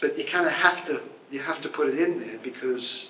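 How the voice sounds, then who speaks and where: Spoken with an Australian accent at a moderate pace, with ordinary pitch variation. Room echo is audible and background noise is noticeable. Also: man. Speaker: journalist and author. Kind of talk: Q&A discussion. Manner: halting.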